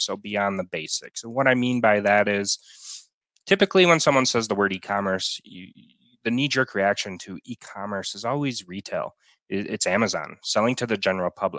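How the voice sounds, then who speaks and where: A man with an unremarkable speaking voice talks at a moderate pace in a fairly low pitch, with ordinary pitch variation and big swings in loudness, the sound dry with no echo over a quiet background. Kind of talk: webinar presentation. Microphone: video call.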